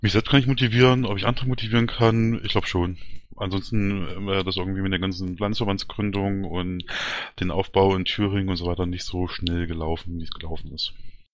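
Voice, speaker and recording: Fairly low-pitched male voice at a fairly quick pace, fairly even intonation and audible room echo. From Thuringia, Germany. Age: 30s. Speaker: party candidate, IT worker. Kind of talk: interview. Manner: hesitant, many fillers.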